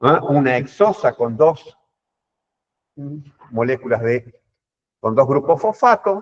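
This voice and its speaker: Recorded in a dry, close sound with no echo, a man speaks at a very slow pace with long, frequent pauses and very wide pitch swings. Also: fairly high pitch for a man. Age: 60s. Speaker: professor. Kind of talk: lecture.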